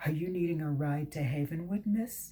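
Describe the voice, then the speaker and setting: Using a put-on character voice, a woman speaks at a very deep, low pitch and a moderate pace. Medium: read story. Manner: polite, courteous.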